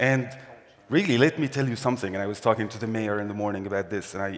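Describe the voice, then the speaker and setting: A man of medium pitch speaks with an Arabic accent and ordinary pitch variation. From Syria. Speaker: employment services director. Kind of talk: conference talk.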